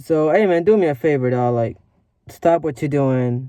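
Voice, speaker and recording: Fairly high in pitch, a man talks with ordinary pitch variation. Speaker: vlogger. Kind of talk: casual motivational vlog talk. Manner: fast; rambling, filler-heavy.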